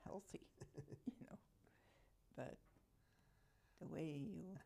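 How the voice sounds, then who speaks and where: Vocal fry runs through this woman's fairly low-pitched voice. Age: 80s+. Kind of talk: interview answer.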